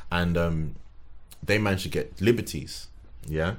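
A man with a London accent talks with vocal fry. The room adds audible echo. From London (Tottenham). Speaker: sneaker designer and collector. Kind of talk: casual chat.

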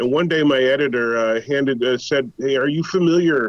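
A man has a normal speaking voice at a medium pitch, with ordinary pitch variation. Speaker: comics historian and writer. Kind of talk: interview.

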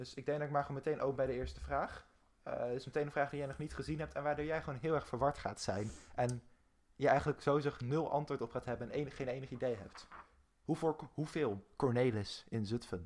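A man with a fairly high pitch speaks fairly quickly in an ordinary speaking voice, his pitch varying in an ordinary way. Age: 20s. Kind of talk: casual chat.

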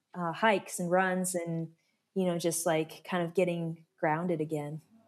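In a very clean recording with a silent background, the speaker talks at a moderate pace with an American accent. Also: woman. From Alaska. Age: 30s. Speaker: ultra-endurance cyclist. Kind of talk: interview, casual storytelling.

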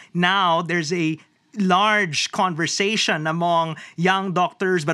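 With a high pitch, a raised, projected voice and a bright, sharp tone, a man speaks at a fairly slow pace and with fairly even intonation, recorded very cleanly with a silent background and a dry, close sound with no echo. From Philippines. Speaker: planetary health scientist. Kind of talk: panel discussion.

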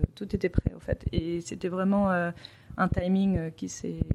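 Her intonation fairly even, a woman speaks at medium pitch with a dark, mellow tone. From Paris, France. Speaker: entrepreneur, children's clothing business owner. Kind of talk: interview. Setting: at her home.

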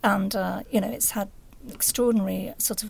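The woman's medium-pitched voice is somewhat breathy and moves at a moderate pace. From northern England, Sheffield. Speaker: journalist. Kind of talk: interview.

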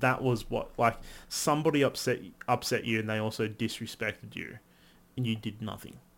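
A man's medium-pitched voice with vocal fry, at a fairly quick pace. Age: 30s. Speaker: podcast co-host. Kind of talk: casual chat. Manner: animated.

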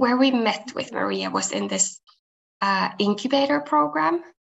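Here a woman is speaking. Her pace is very slow. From Finland. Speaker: clothing company co-founder. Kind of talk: podcast interview.

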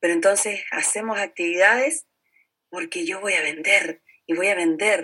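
A woman speaks at a fairly slow pace with a Chilean accent, her medium-pitched voice bright and sharp in tone. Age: 50s. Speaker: network marketing entrepreneur and teacher. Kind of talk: interview.

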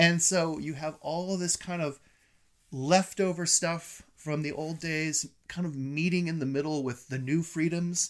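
In a very clean recording with a silent background, a man with a plain, everyday voice speaks at a fairly high pitch with fairly even intonation. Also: fairly slow pace. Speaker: film critic. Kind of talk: casual chat. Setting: in-person recording at home.

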